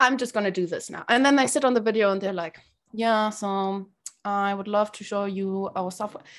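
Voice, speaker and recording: A woman speaks at a fairly quick pace with fairly even intonation and a medium pitch, on a very clean recording with a silent background. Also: big swings in loudness. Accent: German. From Germany, Berlin. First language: German. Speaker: sales community founder. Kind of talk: interview.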